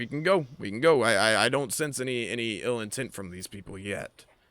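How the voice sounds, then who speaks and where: Using a put-on character voice, a man talks at a fairly quick pace in a raspy, medium-pitched voice. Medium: actual play. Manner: hesitant, stammering.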